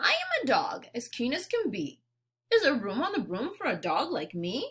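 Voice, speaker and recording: A woman adopts a put-on character voice, high in pitch with very wide pitch swings, at a moderate pace. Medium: read story.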